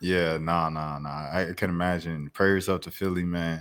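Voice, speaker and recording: A man speaks in a very deep, low pitch with an American accent. His intonation is monotone and flat, and the recording is very clean with a silent background. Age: 20s. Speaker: podcast host. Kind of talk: casual chat.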